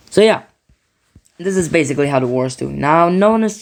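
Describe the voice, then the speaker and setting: A non-native accent at a moderate pace. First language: not English. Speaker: mapping video creator. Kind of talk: casual commentary over map scenario. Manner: halting, with frequent self-corrections.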